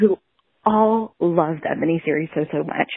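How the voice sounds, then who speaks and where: A woman's pitch varies in an ordinary way as she speaks at a fairly quick pace. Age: 30s. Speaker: listener voicemail caller. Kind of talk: voicemail message. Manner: animated.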